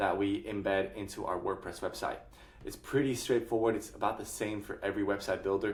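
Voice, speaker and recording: A somewhat breathy man's voice, fairly low in pitch, at a moderate pace with fairly even intonation. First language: not English. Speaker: software tutorial creator. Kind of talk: screen-share tutorial. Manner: casual, with frequent fillers.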